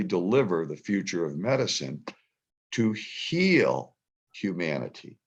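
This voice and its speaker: A man speaks with vocal fry and very wide pitch swings against a quiet background. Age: 70s. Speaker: conference speaker, broadcasting veteran. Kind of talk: panel discussion. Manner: animated.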